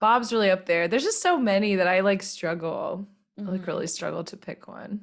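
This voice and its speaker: A plain, everyday voice with an American accent, fairly quick, with ordinary pitch variation and big swings in loudness. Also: woman, medium pitch for a woman. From US South. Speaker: podcast guest. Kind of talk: casual chat.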